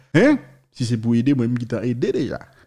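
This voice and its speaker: A man talks with a Haitian accent in a dark, mellow tone. The background is quiet. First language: Haitian Creole (speaking French). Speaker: news video host. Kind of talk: news commentary. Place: studio. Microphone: studio mic.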